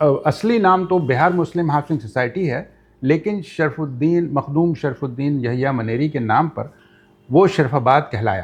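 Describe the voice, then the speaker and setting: A man talks at a fairly high pitch with lively intonation. His voice is somewhat breathy. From Pakistan, Karachi. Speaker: podcast guest. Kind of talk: interview.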